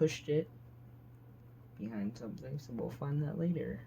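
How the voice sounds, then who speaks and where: The man's voice comes across quiet. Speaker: gaming youtuber. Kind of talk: casual tutorial-style vlog. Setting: home basement floor.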